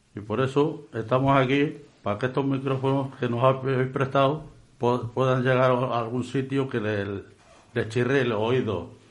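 With audible room echo, a man speaks at a fairly slow pace in fairly even intonation. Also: medium pitch for a man. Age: 70s. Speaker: bar owner. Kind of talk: radio interview. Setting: radio studio.

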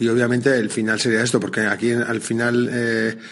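A man at a moderate pace with fairly even intonation, amid noticeable background noise. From Basque Country. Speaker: surf school instructor. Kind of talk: interview. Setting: outdoors at the beach.

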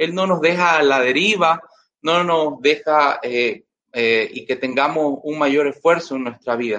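A man's voice with lively intonation. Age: 30s. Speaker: lay preacher. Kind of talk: sermon.

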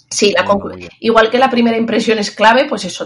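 A woman speaks fairly quickly, and there is noticeable noise in the background. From Zaragoza, Spain. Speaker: English teacher and exam coach. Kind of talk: interview.

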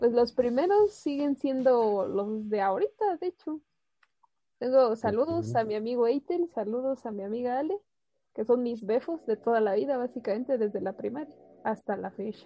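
With a Mexican accent, the speaker moves at a moderate pace with lively intonation. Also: woman, high pitch for a woman. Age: 20s. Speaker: student radio host. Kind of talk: casual chat.

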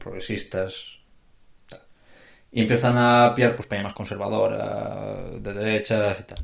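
With a somewhat breathy quality, the man's speech unfolds at a fairly slow pace. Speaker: podcast co-host. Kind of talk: casual chat.

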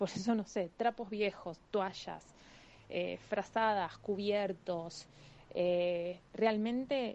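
Against a quiet background, the speaker's dark, mellow tone moves very slowly with ordinary pitch variation. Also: woman. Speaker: animal rescue volunteer. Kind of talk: interview.

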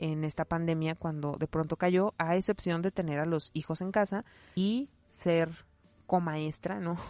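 Fairly slow speech with a dry, close sound with no echo against a quiet background. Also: woman. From Mexico, León, Guanajuato. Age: 30s. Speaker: podcaster. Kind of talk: casual monologue. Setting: home recording behind a wardrobe.

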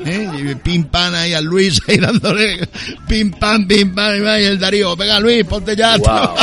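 Against noticeable background noise, a man talks at a fairly slow pace in a high-pitched, raised, projected voice. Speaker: radio host. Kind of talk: casual chat. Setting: outdoors. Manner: animated.

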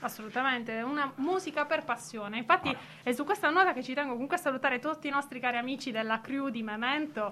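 Raising and projecting her high-pitched, bright, sharp voice, a woman talks at a very fast pace with ordinary pitch variation. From Apulia, southern Italy (Bari). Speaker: radio co-host. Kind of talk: radio show chat.

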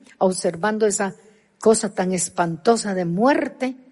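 Somewhat breathy with a dark, mellow tone, a woman talks at a moderate pace and medium pitch with ordinary pitch variation against a quiet background. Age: 70s. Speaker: pastor. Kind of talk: sermon.

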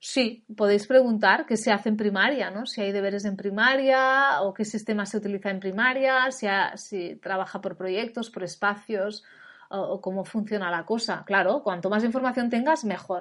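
A woman's medium-pitched voice sounds animated, with ordinary pitch variation. The background is quiet. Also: moderate pace, hardly any pauses. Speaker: parenting and education coach. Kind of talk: educational webinar talk. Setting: online webinar. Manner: animated, informal.

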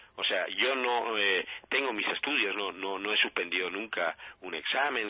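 A man talks at a fairly low pitch with ordinary pitch variation. He has an unremarkable speaking voice. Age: 50s. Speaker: life coach. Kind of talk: radio interview.

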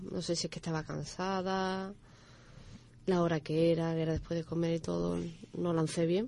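A woman with a fairly low pitch speaks in a dark, mellow tone with monotone, flat intonation. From Dos Hermanas and Seville, Andalusia. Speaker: athlete and coach. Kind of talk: radio interview.

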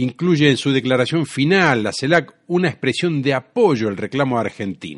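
At a moderate pace with hardly any pauses, a man with an unremarkable speaking voice talks at a medium pitch with lively intonation. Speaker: radio host. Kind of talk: radio show with music and news commentary.

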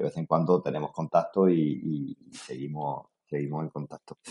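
Fairly even intonation in a man's very deep, low-pitched voice. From Spain, Murcia region. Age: 50s. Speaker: duathlete. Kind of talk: interview.

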